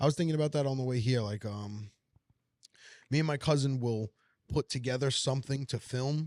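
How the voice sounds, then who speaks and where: A man with a New York accent talks at a fairly quick pace in a medium pitch, with ordinary pitch variation. The recording is very clean, with a silent background. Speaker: comedian. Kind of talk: casual chat. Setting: diner.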